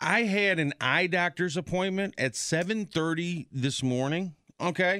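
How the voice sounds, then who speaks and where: A man with a high pitch and a bright, sharp tone talks at very even loudness, with ordinary pitch variation. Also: fairly slow pace, very clean recording, silent background. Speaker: podcast co-host. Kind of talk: casual chat.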